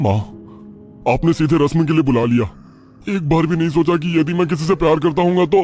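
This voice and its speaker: Over clear music in the background, a man does a cartoonish character voice at a fairly high pitch, speaking at a fairly quick pace with very even loudness and long, frequent pauses. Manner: impatient, irritable.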